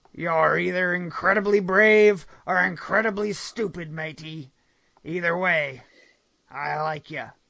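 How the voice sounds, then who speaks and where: Using a put-on character voice, a man speaks in a high pitch at a fairly slow pace. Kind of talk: stage pirate talk. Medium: read story. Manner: swaggering, says "matey".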